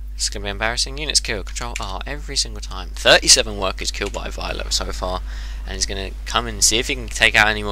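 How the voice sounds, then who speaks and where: With an English accent and a very deep, low pitch, a man speaks at a very fast pace with big swings in loudness over noticeable background noise. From England. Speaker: game commentator. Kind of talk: replay commentary. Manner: animated.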